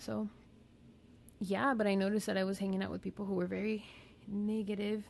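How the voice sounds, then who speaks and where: Mumbling in a monotone, flat intonation, a woman talks at a fairly quick pace broken by long, frequent pauses. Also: medium pitch for a woman. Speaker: therapist. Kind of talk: casual educational talk. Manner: casual, conversational.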